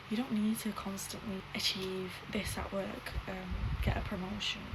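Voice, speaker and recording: Monotone, flat speech from a woman at medium pitch, with audible room echo and noticeable background noise. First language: not English. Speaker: YouTuber. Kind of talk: casual chat.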